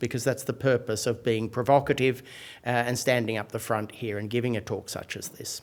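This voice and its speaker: A man speaks with an Australian accent. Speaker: professor. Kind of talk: lecture. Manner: hesitant, many fillers.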